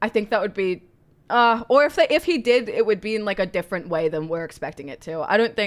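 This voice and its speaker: A woman speaks at a very fast pace with lively intonation in a very clean recording with a silent background. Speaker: streamer. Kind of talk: live reaction stream. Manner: loud.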